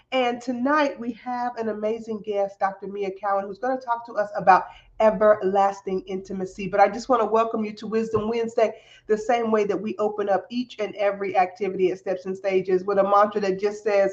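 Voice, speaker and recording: A woman with a Southern US accent at a fairly quick pace, animated in tone and medium in pitch, over noticeable background noise. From US South. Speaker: podcast host. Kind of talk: show introduction; interview.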